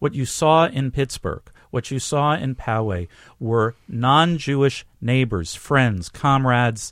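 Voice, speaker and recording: On a very clean recording with a silent background and a dry, close sound with no echo, a man with a New York accent speaks at a very slow pace. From New York City, Bronx. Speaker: rabbi. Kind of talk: interview. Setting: studio.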